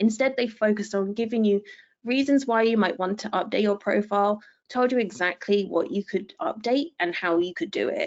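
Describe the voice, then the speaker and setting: A woman's fairly high-pitched voice with an English accent, lively intonation and a fairly quick pace. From England. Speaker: technical writer. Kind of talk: webinar presentation. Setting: online webinar.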